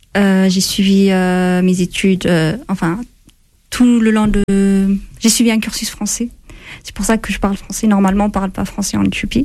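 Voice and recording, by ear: A woman speaks at a moderate pace and medium pitch, her tone slightly mellow and her pitch moving little.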